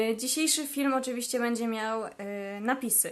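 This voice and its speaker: The woman's fairly high voice rises and falls with ordinary pitch variation. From Poland. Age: 20s. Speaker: language vlogger. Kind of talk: casual vlog talk. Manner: hesitant fillers.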